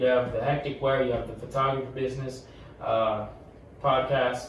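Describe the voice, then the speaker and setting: Noticeable background noise and audible room echo fill the recording. Through them a man speaks at medium pitch. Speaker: podcast co-host. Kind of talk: casual chat. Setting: podcast recording with camera. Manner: halting, many repetitions.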